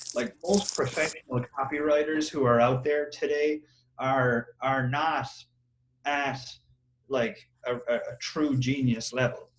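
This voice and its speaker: A man with an Irish accent speaks very slowly at a fairly high pitch. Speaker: copywriter, marketer. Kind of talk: interview answer. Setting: Skype call.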